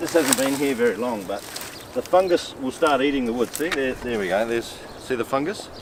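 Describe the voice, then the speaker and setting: With an Australian accent, a man speaks at a medium pitch and a fairly quick pace, his intonation lively against noticeable background noise. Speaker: permaculture farmer. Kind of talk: garden tour explanation.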